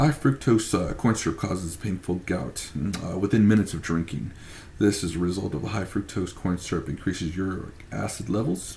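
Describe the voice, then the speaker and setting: A fairly quick pace with lively intonation. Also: man, very deep, low pitch for a man. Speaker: student presenting a case study. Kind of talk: class presentation. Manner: halting, stumbles over words.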